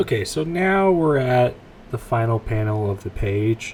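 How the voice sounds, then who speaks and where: Lively in intonation, a man speaks over noticeable background noise. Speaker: comic artist. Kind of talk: tutorial. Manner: laid-back.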